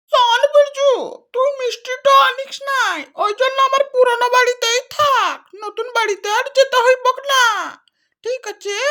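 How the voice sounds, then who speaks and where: This cartoonish character voice sounds female and sits at an extremely high pitch for a woman. It moves at a fairly slow pace. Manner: blunt, grudging.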